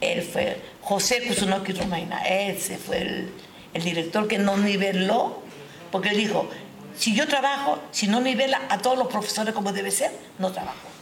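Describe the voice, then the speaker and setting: A woman with a Japanese accent at a medium pitch, a fairly slow pace and long, frequent pauses, amid noticeable background noise and audible room echo. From Peru (Huaral, Callao), Japanese-Peruvian family. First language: Japanese (speaking Spanish). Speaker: retired schoolteacher. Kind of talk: interview. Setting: live stream.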